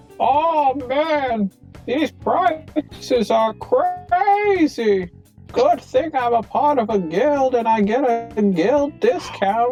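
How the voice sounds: A put-on character voice at a fairly high pitch moves at a very slow pace, with faint music in the background.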